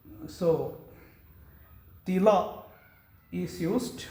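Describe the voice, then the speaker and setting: Audible room echo surrounds a man's high-pitched voice. His pitch varies in an ordinary way. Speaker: monk giving a religious talk. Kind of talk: religious discourse. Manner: explanatory, with hesitations.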